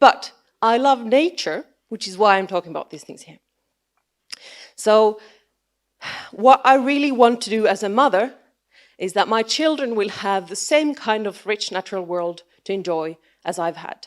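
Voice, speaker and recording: With a Finnish accent, a woman speaks at a fairly high pitch and moderate pace. Her intonation is lively, and she takes long, frequent pauses. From Finland. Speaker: biologist and science communicator. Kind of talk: conference talk. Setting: stage with audience. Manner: halting.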